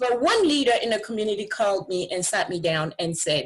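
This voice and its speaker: A woman's fairly high, somewhat breathy voice at a moderate pace with very wide pitch swings. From Africa. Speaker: parent advocate and teacher. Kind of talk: casual chat. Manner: animated.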